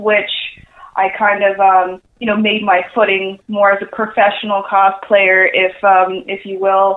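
A woman with an American accent speaks at a fairly slow pace in a medium pitch. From New York (Queens). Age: 20s. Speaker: cosplayer and marketer. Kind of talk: interview. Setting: phone call.

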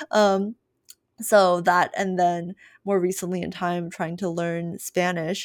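A woman with an American accent is captured in a very clean recording against a silent background. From US, Chinese heritage. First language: Mandarin. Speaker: podcast host. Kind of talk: casual chat.

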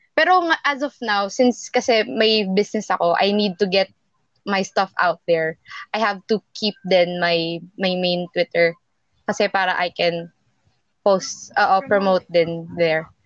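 Fairly slow and broken by long, frequent pauses, a woman's speech has ordinary pitch variation and a dry, close sound with no echo. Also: medium pitch for a woman. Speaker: podcast co-host. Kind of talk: casual chat.

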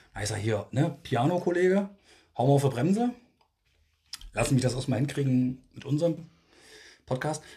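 Quiet and somewhat breathy, a man's fairly high voice has a dark, mellow tone and lively intonation, moving at a fairly quick pace broken by long, frequent pauses. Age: 40s. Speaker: podcast co-host. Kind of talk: casual chat. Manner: speaking more quietly.

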